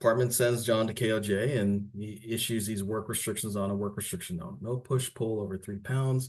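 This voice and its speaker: In an unremarkable speaking voice, a man talks at a fairly quick pace and a fairly low pitch, with fairly even intonation and hardly any pauses. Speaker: workers compensation staff presenter. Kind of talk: webinar presentation. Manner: conversational.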